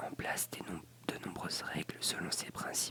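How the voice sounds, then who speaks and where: A whisper comes through against noticeable background noise. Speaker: ASMR creator. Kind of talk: ASMR reading of encyclopedia article. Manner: whispered; soft-spoken, relaxing.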